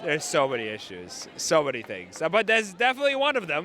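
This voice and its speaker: Very wide pitch swings from a man, with noticeable background noise underneath. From Ukraine. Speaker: protester. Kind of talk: street interview. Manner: halting, stammering.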